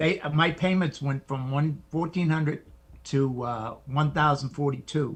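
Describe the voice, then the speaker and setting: Somewhat breathy and fairly high-pitched, a man talks at a fairly slow pace with fairly even intonation. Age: 60s. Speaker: military veteran. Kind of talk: live Q&A question.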